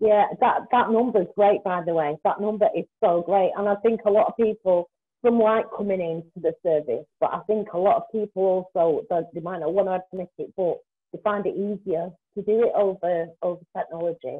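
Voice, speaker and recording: The setting behind the voice is quiet. A woman talks at a moderate pace. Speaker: volunteer interviewer. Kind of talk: casual interview. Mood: warm, encouraging. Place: home room. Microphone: video call.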